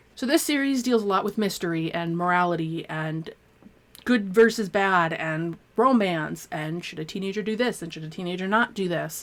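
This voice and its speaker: Recorded very cleanly against a silent background, a woman speaks at a medium pitch with ordinary pitch variation. Her loudness swings widely. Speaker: book reviewer. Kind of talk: casual monologue. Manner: fast; animated.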